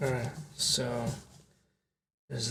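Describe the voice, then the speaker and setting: A man whispers, somewhat breathy, with audible room echo. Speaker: card unboxing youtuber. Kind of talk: casual product unboxing. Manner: whispering.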